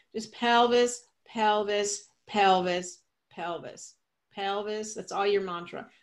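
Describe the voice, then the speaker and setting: The setting is quiet. A woman speaks there at a fairly slow pace. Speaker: yoga teacher. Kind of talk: live yoga class instruction, guiding a demonstration. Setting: studio with a live class. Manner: animated, playful, coaching with cues and laughter; directive, clear step-by-step cues. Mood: warm, enthusiastic. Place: home room. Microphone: webcam.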